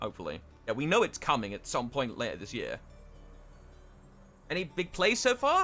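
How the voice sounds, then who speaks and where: Over music in the background, a man with an English accent speaks at a fairly quick pace, broken by long, frequent pauses. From England. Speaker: esports caster. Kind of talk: live commentary.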